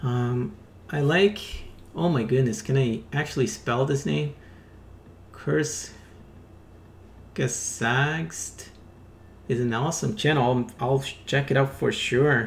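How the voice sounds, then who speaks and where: A man speaks at a very slow pace with long, frequent pauses. His voice sits at a medium pitch, somewhat breathy, with ordinary pitch variation. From Brazil. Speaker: digital artist streamer. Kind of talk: live stream drawing commentary. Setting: live stream with music playing. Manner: casual, thinking aloud.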